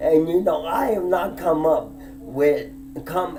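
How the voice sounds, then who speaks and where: Audible room echo and music in the background surround a man speaking at a fairly high pitch. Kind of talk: personal monologue vlog. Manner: emphatic, heated.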